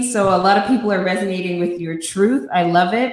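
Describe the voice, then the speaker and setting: Noticeable background noise is present. The pitch varies in an ordinary way. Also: woman. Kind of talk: casual talk show hosting.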